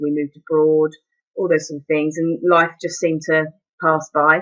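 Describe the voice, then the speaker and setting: At a moderate pace, a woman speaks with a very deep, low pitch. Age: 30s. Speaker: mature university student. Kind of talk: personal testimony. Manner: hesitant, with fillers and repetitions.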